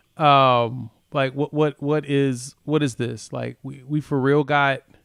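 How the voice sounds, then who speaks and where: A man talks at a fairly high pitch. The recording is very clean with a silent background, and the sound is dry and close with no echo. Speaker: sports podcast host. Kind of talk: casual chat. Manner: loud; animated.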